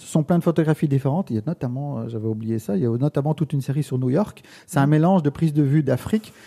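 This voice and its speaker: A man at a fairly high pitch with a dark, mellow tone, somewhat breathy, at a very fast pace with big swings in loudness, in a very clean recording with a silent background and a dry, close sound with no echo. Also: ordinary pitch variation. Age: 50s. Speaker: photographer. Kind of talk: interview. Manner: halting.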